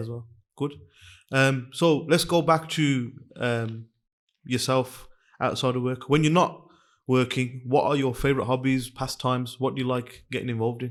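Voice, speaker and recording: Fairly even intonation and a moderate pace mark a man's unremarkable speaking voice at a medium pitch. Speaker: podcast host and boxing coach. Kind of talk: podcast host talk.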